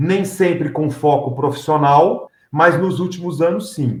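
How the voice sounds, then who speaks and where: The pace is very slow. A man talks in a somewhat breathy voice. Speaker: announcer and MC. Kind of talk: interview.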